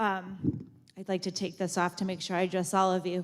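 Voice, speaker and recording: On a very clean recording with a silent background, a woman talks at a fairly quick pace. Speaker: high school principal. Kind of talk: ceremony speech. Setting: school auditorium with audience, on mic. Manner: loud.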